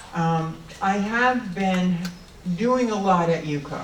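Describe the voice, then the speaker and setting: A woman with a fairly low pitch speaks amid audible room echo and noticeable background noise. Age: 70s. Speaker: candidate for treasurer. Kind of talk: candidate speech at forum. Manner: halting, many fillers.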